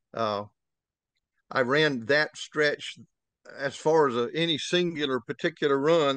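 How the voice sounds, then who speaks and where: A man with a Southern US accent at a fairly high pitch, fairly slow pace and fairly even intonation, in a dry, close sound with no echo and a quiet background. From Florida Panhandle, Destin. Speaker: retired towboat pilot. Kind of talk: interview. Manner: halting.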